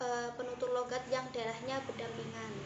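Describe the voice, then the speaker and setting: A woman's high-pitched voice at a moderate pace, with audible echo from the room. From Central Java, Banyumas region. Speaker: university student presenter. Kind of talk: student presentation.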